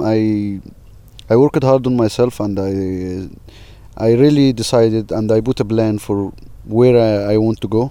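A man speaks in an Arabic accent. His tone is dark and mellow, his pace fairly slow. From Egypt. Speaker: filmmaker and tour guide. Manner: halting, searching for words.

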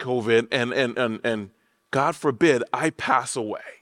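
Recorded very cleanly against a silent background, a man with an American accent sounds dry and close, with no echo. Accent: Liberian accent, changed by living in the US. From Liberia, West Africa. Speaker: pastor. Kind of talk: sermon. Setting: church.

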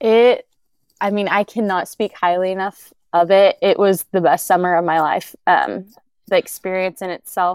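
A woman with an American accent uses a normal speaking voice at medium pitch and a moderate pace. Her intonation is fairly even, and the sound is dry and close with no echo. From Oklahoma. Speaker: new graduate. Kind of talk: interview.

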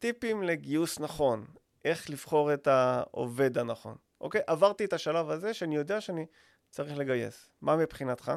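A plain, everyday voice from a man, fairly high in pitch, with lively intonation at a moderate pace, on a very clean recording with a silent background. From Israel, Rishon LeZion. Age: 40s. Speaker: podcast co-host, business owner. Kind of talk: casual chat.

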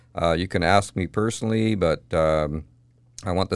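A man with a Canadian accent speaks in a very deep, low pitch. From Kamloops, British Columbia, Canada. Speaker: mayoral candidate and locksmith. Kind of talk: interview.

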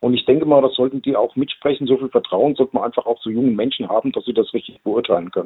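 This man speaks with a fairly high pitch. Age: 60s. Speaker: local politician. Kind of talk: interview. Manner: hesitant, many fillers.

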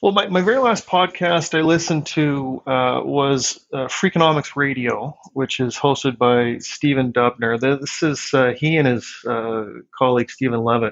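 Speaking in a normal speaking voice with a Canadian accent, a man with a fairly high pitch keeps a moderate pace, very even loudness, and ordinary pitch variation. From Saskatchewan, Canada (Regina). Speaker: tax accountant. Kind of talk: interview.

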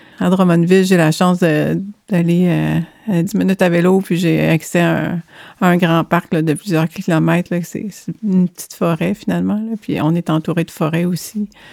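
A woman's fairly low voice, dark and mellow in tone, in a Quebec accent with flat, monotone intonation. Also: moderate pace, dry, close sound with no echo. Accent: Québécois French. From Quebec, Saint-Hyacinthe (Montérégie). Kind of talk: casual chat. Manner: halting.

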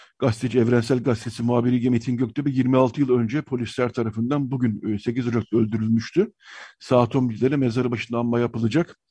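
A man with a dark, mellow tone and medium pitch speaks at a fairly quick pace with fairly even intonation. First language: Armenian (speaking Turkish). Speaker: radio host. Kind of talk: radio talk show.

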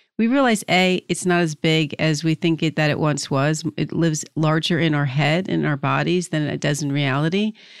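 A woman with a New Jersey accent speaks at a moderate pace. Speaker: podcast host, career coach. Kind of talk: interview.

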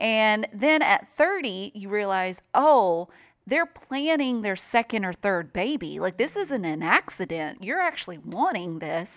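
A woman with a Southern US accent, a fairly high pitch, very wide pitch swings, and hardly any pauses, in a very clean recording with a silent background. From US South, mainly Nashville, Tennessee. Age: 30s. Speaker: radio host. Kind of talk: casual interview.

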